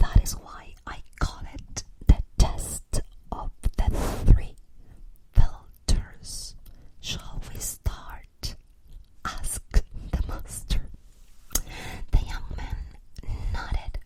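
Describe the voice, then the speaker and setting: Whispering in a non-native accent at a very slow pace, with long, frequent pauses. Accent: foreign accent in English. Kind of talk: whispered ASMR for sleep, with story reading. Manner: whispered, soft-spoken.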